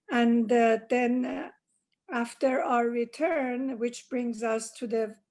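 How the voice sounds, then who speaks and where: At a very slow pace, a woman with a Persian accent speaks at a fairly high pitch with fairly even intonation over a quiet background. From Iran. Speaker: interviewee, oral history. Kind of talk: oral history interview. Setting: video call. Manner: hesitant, many fillers.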